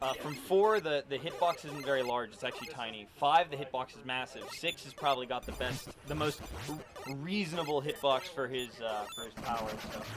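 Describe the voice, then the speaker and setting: A man talks with ordinary pitch variation and big swings in loudness. Noticeable background noise runs underneath. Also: fairly high pitch for a man, fairly quick pace. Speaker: speedrunner. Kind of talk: live commentary.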